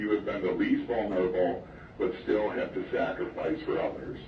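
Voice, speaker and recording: There is noticeable background noise behind this man. His voice carries audible room echo. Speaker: school principal. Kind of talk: school announcement. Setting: PA system. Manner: formal.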